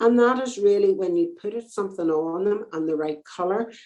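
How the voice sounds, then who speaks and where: Speaking with an Irish accent, a woman has a dark, mellow tone at a medium pitch. Her pace is fairly quick. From Northern Ireland. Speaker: fashion designer and knitwear business owner. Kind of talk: casual interview chat.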